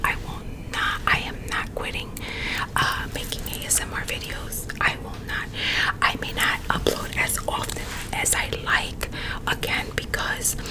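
A woman whispers at a fairly slow pace. Loud background noise is present. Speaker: ASMR YouTuber. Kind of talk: casual vlog chat. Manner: close-mic whispered talk to viewers. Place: home room. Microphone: studio mic.

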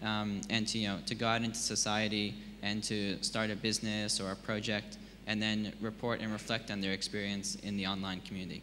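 The man's voice is fairly low, with a bright, sharp tone and a monotone, flat intonation. He speaks at a fairly quick pace over light background noise. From Australia. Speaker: online education company founder, panellist; panellist. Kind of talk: panel discussion. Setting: stage with audience. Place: hall. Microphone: handheld.

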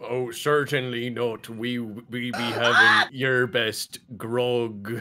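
In a put-on character voice, a man speaks at a very slow pace, raspy and at a medium pitch.

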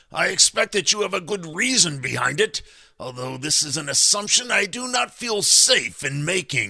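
Putting on a character voice, a man speaks with a fairly high pitch, big pitch swings, a bright, sharp tone, vocal fry, a slightly husky edge and a moderate pace.

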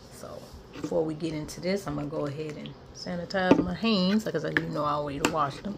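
Over light background noise, a woman's bright, sharp tone carries lively intonation. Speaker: food vlogger. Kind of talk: casual vlog chat. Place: home room. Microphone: phone near.

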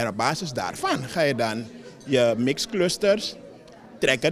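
A man speaks at a medium pitch with lively intonation.

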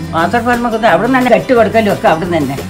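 With clear music in the background, a woman speaks with lively intonation. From Kerala. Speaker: grandmother. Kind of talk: interview answer, recalling her own wedding. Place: garden. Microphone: phone near.

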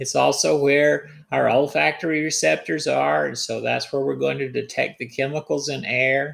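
A man talks at a moderate pace with hardly any pauses. The recording is very clean, with a silent background. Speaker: biology instructor. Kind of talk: lecture. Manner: explanatory.

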